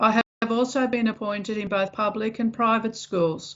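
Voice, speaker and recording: A woman speaks in an Australian accent at a moderate pace. Her pitch is fairly high, with fairly even intonation. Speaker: English teacher. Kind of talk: self-introduction read to camera.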